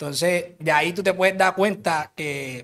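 This man's voice is fairly high, its pitch varying in an ordinary way. He speaks fairly slowly. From Colombia, Cartagena (Caribbean coast). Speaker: rapper. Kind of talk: casual interview chat. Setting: studio.

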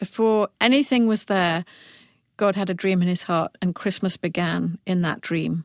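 The voice moves at a moderate pace with ordinary pitch variation, captured in a dry, close sound with no echo on a very clean recording with a silent background. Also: woman. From Africa, then schooled in England. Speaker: children's book author. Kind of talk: interview.

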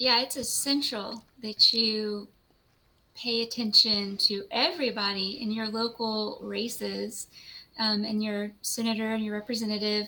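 With an American accent, a woman speaks in an ordinary speaking voice at a fairly slow pace, her fairly high pitch carrying fairly even intonation. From US South. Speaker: lawyer. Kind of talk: interview.

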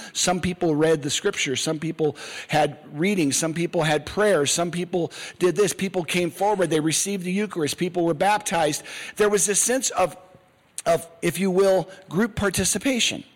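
Noticeable background noise around a high-pitched man at a moderate pace, with ordinary pitch movement. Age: 50s. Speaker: Sunday school teacher. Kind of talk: Bible lesson. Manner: conversational.

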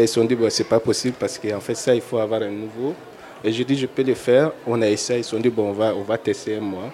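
A man talks at a very fast pace in a medium pitch with fairly even intonation over noticeable background noise. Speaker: restaurant chef. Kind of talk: live radio panel discussion. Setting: outdoor live broadcast with audience. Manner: halting.

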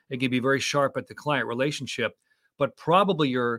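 The recording is very clean, with a silent background and a dry, close sound with no echo. A man with an American accent speaks at a medium pitch and a fairly quick pace. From US Northeast (Boston area). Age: 60s. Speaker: financial advisor and podcast host. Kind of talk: interview.

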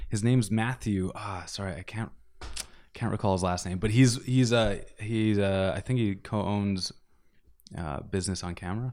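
An ordinary speaking voice with a Canadian accent, fairly even intonation and a moderate pace, in a very clean recording with a silent background. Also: man, fairly low pitch for a man. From Saskatchewan and moved around, incl. US. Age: 20s. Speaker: film student. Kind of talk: casual interview.

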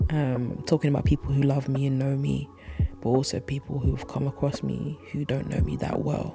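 Music plays behind a woman speaking at a moderate pace. Her tone is relaxed and warm. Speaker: radio host. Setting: pre-recorded away from the studio. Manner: relaxed, warm and conversational, with frequent 'you know' and laughs.

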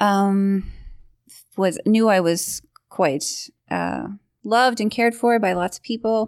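A woman with a Newfoundland accent and medium pitch, very slow with long, frequent pauses and ordinary pitch variation, on a very clean recording with a silent background. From Newfoundland, Portugal Cove South. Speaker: person in addiction recovery. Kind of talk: personal recovery testimony. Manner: hesitant, with many fillers.

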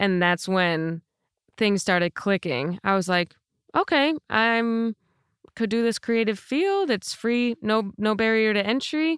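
A woman with an American accent speaks at a fairly slow pace in an unremarkable speaking voice, her pitch fairly high and her intonation lively. The recording is very clean with a silent background, dry and close with no echo, and her loudness stays very even. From Buffalo, New York, US. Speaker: comedian. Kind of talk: casual chat.

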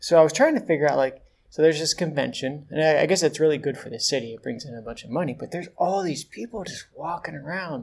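With a fairly high pitch, a man talks at a very fast pace with hardly any pauses and big swings in loudness. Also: ordinary pitch variation. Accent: American. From Pittsburgh, Pennsylvania. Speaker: podcast co-host. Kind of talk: casual chat, news banter. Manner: joking, dry humor.

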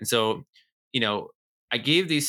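With an American accent, a bright, sharp voice shows ordinary pitch variation on a very clean recording with a silent background. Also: man. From US South, Nashville, Tennessee. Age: 30s. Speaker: health and performance advisor. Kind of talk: interview.

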